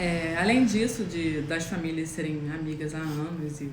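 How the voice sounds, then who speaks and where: Amid noticeable background noise and audible room echo, a woman speaks at a fairly slow pace with a fairly low pitch. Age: 20s. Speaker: guest. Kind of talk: casual chat. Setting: Instagram live. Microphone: microphone far away.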